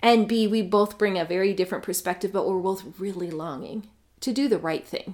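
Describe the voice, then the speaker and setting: A woman speaks with a Canadian accent and ordinary pitch variation. She has an unremarkable speaking voice. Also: medium pitch for a woman, fairly quick pace. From Canada. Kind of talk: casual chat.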